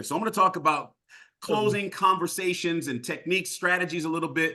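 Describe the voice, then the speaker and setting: A man with a fairly high pitch and a bright, sharp tone talks loudly at a very fast pace in an animated tone. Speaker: sales trainer. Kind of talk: training session.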